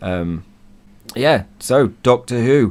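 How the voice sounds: Croaky and slow, a man talks at medium pitch with lively intonation.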